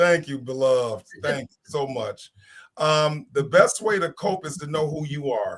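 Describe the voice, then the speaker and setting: Somewhat breathy and fairly high in pitch, a man with an American accent speaks at a fairly slow pace. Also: ordinary pitch variation. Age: 50s. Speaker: panelist on a talk show. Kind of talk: casual panel discussion.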